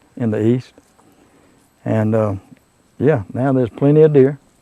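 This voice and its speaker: A man with a South Carolina accent has a dark, mellow tone at medium pitch. His pace is moderate, with ordinary pitch variation. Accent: Southern US (South Carolina). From US South, Abbeville County, South Carolina. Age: 60s. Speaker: local witness of wildlife sightings. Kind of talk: casual interview. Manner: halting.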